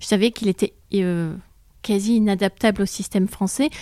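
In a very clean recording with a silent background and a dry, close sound with no echo, a woman with a plain, everyday voice speaks at a fairly quick pace, medium pitch and ordinary pitch variation. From France, childhood in Borneo. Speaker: psychiatrist. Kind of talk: interview explaining.

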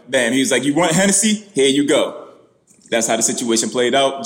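Someone with an American accent speaks at a fairly quick pace and with lively intonation. Audible room echo surrounds the voice. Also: man. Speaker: comedian and celebrity impersonator. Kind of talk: casual interview.

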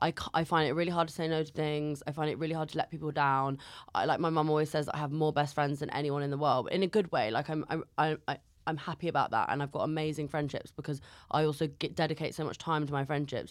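In a London accent, a woman talks very fast at a very deep, low pitch with fairly even intonation, on a very clean recording with a silent background. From North London. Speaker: comedian. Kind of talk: casual chat. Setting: studio.

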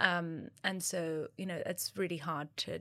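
In a very clean recording with a silent background, a woman with a British accent speaks in a fairly low pitch with a bright, sharp tone and monotone, flat intonation. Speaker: co-founder of a divorce support platform. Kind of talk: interview. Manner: halting, many fillers.

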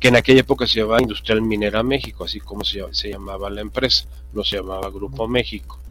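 A man is speaking. Music plays in the background. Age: 80s+. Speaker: political commentator, former banker. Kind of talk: panel discussion.

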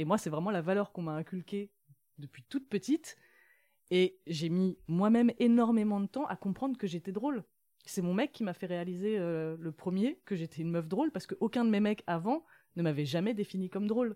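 On a very clean recording with a silent background, a woman speaks at a fairly quick pace in a dark, mellow tone. Her medium pitch carries lively intonation, and the sound is dry and close with no echo. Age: 30s. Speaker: author. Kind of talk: interview.

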